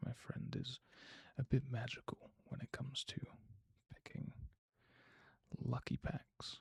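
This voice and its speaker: A man whispers at a fairly slow pace, with vocal fry in his voice. The sound is dry and close, with no echo. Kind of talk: ASMR card unboxing. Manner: whispered.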